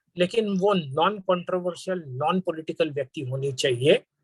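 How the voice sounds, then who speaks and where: A man's high voice with lively intonation, dry and close with no echo. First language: Marathi (speaking Hindi). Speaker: panel speaker. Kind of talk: formal speech. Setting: webinar.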